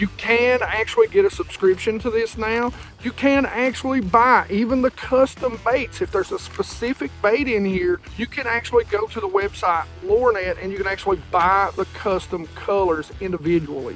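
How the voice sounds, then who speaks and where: Faint music plays in the background as a man talks at a moderate pace. He hardly pauses at all. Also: dry sound with no echo. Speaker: fishing channel host. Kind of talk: casual vlog chat. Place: waterside.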